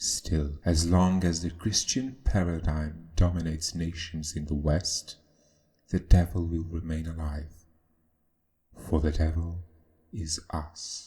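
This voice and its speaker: In a very deep, low pitch, a man talks at a very slow pace, somewhat breathy, with fairly even intonation. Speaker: video essayist. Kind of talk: scripted narration.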